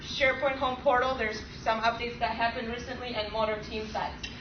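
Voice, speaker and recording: A woman talks at a fairly quick pace. Noticeable background noise and audible room echo are present. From Poland. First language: Polish. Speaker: software engineer presenting at a user group. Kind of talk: technical presentation. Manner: fast.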